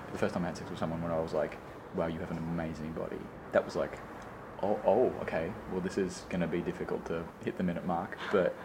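Amid noticeable background noise, a man with a very deep, low pitch talks at a very fast pace in a flat monotone. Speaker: friend chatting over tea. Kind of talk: casual chat.

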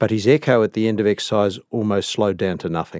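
Recorded very cleanly with a silent background and a dry, close sound with no echo, a man speaks at medium pitch with an Australian accent. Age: 60s. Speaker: cardiologist. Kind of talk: interview. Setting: studio.

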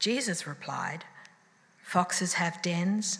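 A woman speaks at a very slow pace and fairly low pitch. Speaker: scripture reader. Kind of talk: reading aloud. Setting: church.

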